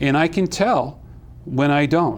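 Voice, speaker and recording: A man's fairly high pitch shows ordinary pitch variation as he talks in a normal speaking voice. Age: 50s. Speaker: food advocate, retired navy chief. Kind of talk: TV talk show interview. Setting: TV studio.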